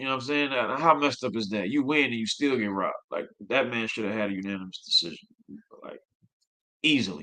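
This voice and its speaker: At a fairly quick pace, a man speaks in a bright, sharp tone with a medium pitch and ordinary pitch variation. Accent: American. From USA. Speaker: boxing commentator. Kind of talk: livestream fight review. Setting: livestream. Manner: fast; animated.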